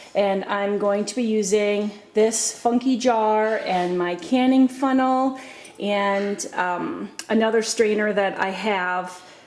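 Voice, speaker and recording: Noticeable background noise surrounds a woman's voice. Her intonation stays fairly even. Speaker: home cooking video host. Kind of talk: tutorial. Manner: casual, with many fillers.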